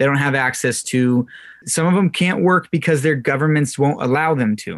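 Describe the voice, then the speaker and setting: A man speaks in a Californian accent with a fairly high pitch. His pitch varies in an ordinary way, and the background is quiet. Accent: Californian American. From Southern California. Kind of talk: radio interview.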